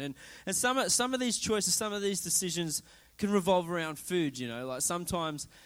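With an Australian accent, a man speaks using lively intonation. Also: very clean recording, silent background. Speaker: preacher. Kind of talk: sermon. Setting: church. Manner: informal, humorous.

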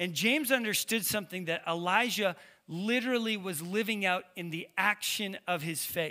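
A man speaks in a raised, projected voice with a bright, sharp tone, a high pitch, and ordinary pitch variation. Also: moderate pace. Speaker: pastor. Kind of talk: sermon. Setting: church. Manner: halting, filler-heavy.

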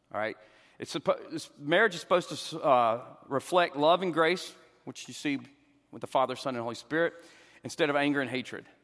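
A man with a Southern US accent and a fairly high pitch, fairly quick in pace but broken by long, frequent pauses, with big swings in loudness and ordinary pitch variation. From US South. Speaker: pastor and counselor. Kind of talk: church Q and A discussion. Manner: fast talker.

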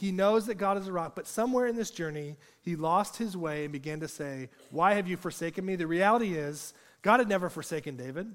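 A high-pitched man at a fairly quick pace with ordinary pitch variation, on a very clean recording with a silent background. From rural agricultural area. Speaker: preacher. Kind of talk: sermon.

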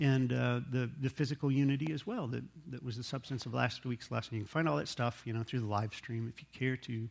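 Speaking at a fairly quick pace with hardly any pauses, a man uses a medium pitch and ordinary pitch variation. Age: 40s. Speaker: pastor. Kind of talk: sermon. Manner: halting.

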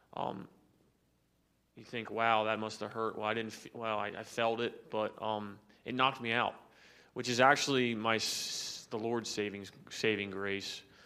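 In a room with audible echo, a man of medium pitch speaks fairly slowly in a bright, sharp tone with flat, monotone intonation. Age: 30s. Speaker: church member sharing testimony. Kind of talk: testimony. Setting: church. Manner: halting.

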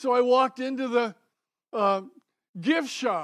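The man speaks at a fairly slow pace with ordinary pitch variation. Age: 80s+. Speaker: lay preacher. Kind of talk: sermon. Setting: church. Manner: animated.

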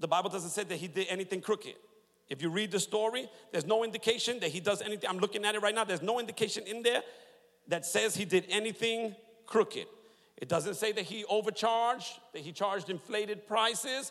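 Amid noticeable background noise, a man talks very fast in an animated tone, his high pitch showing ordinary variation. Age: 40s. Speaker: pastor. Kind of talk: sermon. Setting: church.

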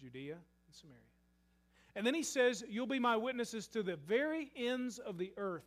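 A man speaks with a Kentucky accent. His high voice has lively intonation. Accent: Southern US (Kentucky). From US South, western Kentucky. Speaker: pastor. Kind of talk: sermon. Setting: church.

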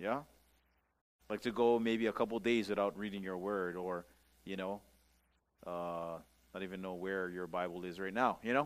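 A man with a Hawaiian accent, very deep and low in pitch, with fairly even intonation and long, frequent pauses. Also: moderate pace. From Hawaii, Maui. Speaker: pastor. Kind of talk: sermon. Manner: casual, conversational.

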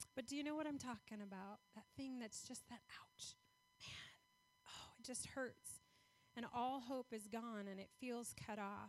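A woman speaks at a fairly slow pace in a plain, everyday voice. Her pitch is fairly high and her intonation fairly even. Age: 40s. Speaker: guest speaker for a foster care charity. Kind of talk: sermon.

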